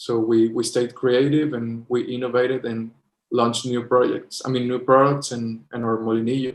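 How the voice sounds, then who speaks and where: Speaking at a moderate pace, a man keeps a monotone, flat intonation. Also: medium pitch for a man. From Mexico. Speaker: chocolate company co-founder. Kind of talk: interview. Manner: halting.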